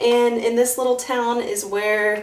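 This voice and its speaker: A woman with an American accent at a very slow pace, with noticeable background noise and audible room echo. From US South (Florida and north Georgia). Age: 30s. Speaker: mom vlogger. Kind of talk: casual vlog talk to camera.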